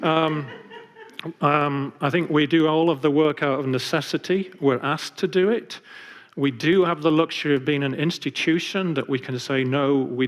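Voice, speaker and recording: A man speaks with an English accent at a moderate pace. His pitch varies in an ordinary way. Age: 50s. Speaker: architect and architecture professor. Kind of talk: public lecture. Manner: hesitant, many fillers.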